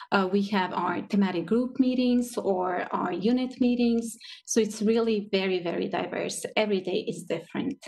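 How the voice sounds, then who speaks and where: A woman talks at a moderate pace with a Croatian accent. Her pitch variation is ordinary. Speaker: translator. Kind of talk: panel discussion.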